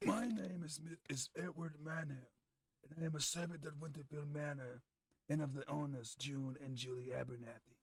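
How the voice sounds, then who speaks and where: A man puts on a raspy, gravelly character voice with a growl. His pitch is fairly high and his pace moderate. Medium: game stream. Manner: well-enunciated, formal, deadpan.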